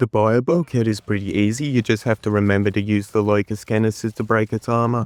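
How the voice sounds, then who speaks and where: Speaking at a fairly quick pace in an Australian accent, a man with a fairly low pitch comes across in a dry, close sound with no echo on a very clean recording with a silent background. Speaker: gaming guide creator. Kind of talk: tutorial.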